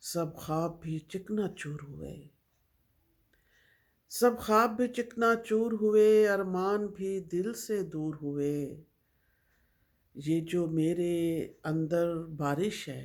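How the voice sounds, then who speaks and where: A woman's fairly low-pitched, unremarkable speaking voice with ordinary pitch variation. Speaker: poet. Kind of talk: poetry reading.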